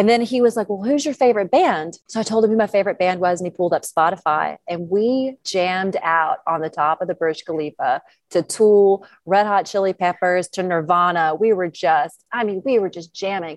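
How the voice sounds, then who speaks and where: Spoken with a Georgia accent at a fairly quick pace, the voice has ordinary pitch variation and a dry, close sound with no echo over a quiet background. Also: woman, medium pitch for a woman. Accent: Southern American (Georgia). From US South, northeast Georgia. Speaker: professional skydiver. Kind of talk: casual interview.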